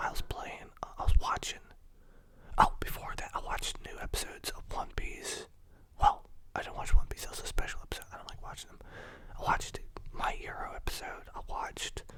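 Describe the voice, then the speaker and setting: Whispering at a fairly quick pace, a man makes big swings in loudness and long, frequent pauses amid noticeable background noise. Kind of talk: ASMR casual talk about the day. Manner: soft-spoken.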